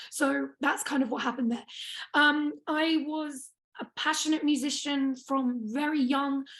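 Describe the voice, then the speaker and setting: With a British accent, a woman speaks at a high pitch and with fairly even intonation. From England, small town. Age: 20s. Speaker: activist speaker. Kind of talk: personal testimony talk.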